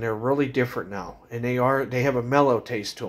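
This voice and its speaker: The speaker is male. He goes neither fast nor slow, at a moderate pace. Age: 40s. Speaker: vlogger reviewing cigars; cigar reviewer. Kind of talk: casual product review video. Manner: hesitant with many fillers. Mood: relaxed, friendly. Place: home room. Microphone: phone near.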